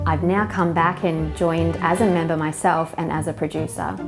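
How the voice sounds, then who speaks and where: With a slight New Zealand accent, a woman talks at a moderate pace over music in the background. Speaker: microgreens grower. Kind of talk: interview answer.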